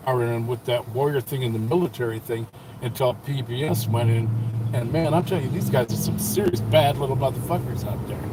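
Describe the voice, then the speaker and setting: A man with a medium pitch talks fairly quickly while noticeable background noise plays. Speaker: former rock band musician. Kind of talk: casual chat.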